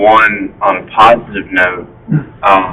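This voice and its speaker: With music in the background, a man with an American accent speaks at a fairly low pitch. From US South. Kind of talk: community meeting discussion.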